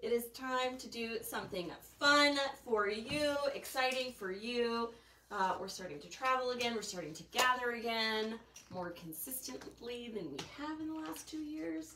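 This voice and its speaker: Over noticeable background noise, a woman speaks at a moderate pace with lively intonation and big swings in loudness. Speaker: shop host. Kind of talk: live stream sales chat. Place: shop. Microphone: camera far.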